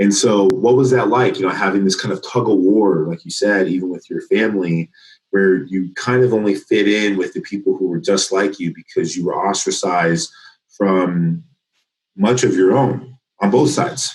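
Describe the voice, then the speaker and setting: With an unremarkable speaking voice, a man in an American accent talks at a fairly low pitch and a moderate pace with ordinary pitch variation. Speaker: podcast host. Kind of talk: interview conversation.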